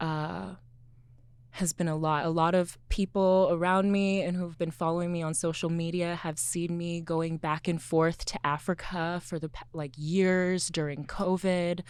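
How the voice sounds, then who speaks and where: A woman with an American accent speaks at a fairly slow pace in a fairly low pitch, her intonation flat and monotone. The recording is very clean, with a silent background. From Seattle, US Pacific Northwest. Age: 20s. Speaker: fashion entrepreneur. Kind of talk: interview.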